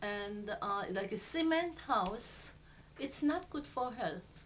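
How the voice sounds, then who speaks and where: Very slowly and with lively intonation, a woman speaks with a Korean accent. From Seoul, South Korea. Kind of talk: interview answer.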